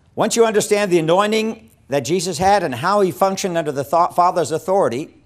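The man's speech moves fairly quickly, with lively intonation. Nothing else can be heard behind him. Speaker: evangelism teacher. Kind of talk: lecture. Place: studio. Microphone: lapel.

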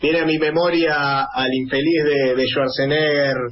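Noticeable background noise sits under a man's voice. He talks at a fairly slow pace with fairly even intonation. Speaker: radio host. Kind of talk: radio interview and political commentary. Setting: radio studio.

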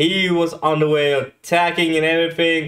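A man speaks against a quiet background. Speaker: reaction video host. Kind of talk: casual reaction commentary. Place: home room. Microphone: studio mic.

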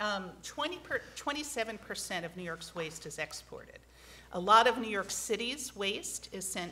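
A woman's bright, sharp tone at a fairly quick pace over light background noise. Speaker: environmental advocate testifying at hearing; witness. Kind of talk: testimony at legislative hearing. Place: hall. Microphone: podium.

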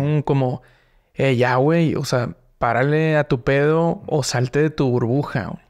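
The background is quiet as a man talks with ordinary pitch variation. His loudness stays very even. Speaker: podcast host. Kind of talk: casual interview. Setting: studio. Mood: relaxed, friendly. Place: studio. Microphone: studio mic.

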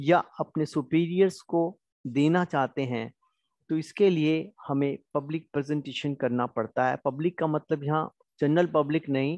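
A man with a plain, everyday voice speaks at a fairly high pitch with fairly even intonation. The sound is dry and close with no echo, over a quiet background. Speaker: college lecturer. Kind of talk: lecture.

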